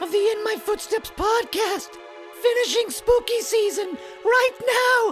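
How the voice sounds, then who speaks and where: Clear music plays in the background behind a put-on character voice pitched extremely high. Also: fairly slow pace. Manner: wacky, exaggerated.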